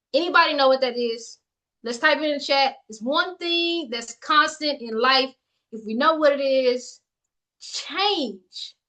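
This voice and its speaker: A woman's high, bright, sharp voice, raised and projected, at a fairly slow pace with ordinary pitch variation and big swings in loudness. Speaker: livestream coach. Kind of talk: motivational livestream talk. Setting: live video stream with chat. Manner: animated.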